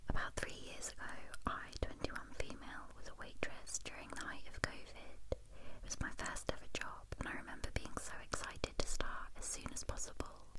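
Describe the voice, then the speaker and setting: A whisper in a British accent at a moderate pace, with hardly any pauses and noticeable background noise. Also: woman. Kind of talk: ASMR story reading. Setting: binaural microphone. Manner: whispered.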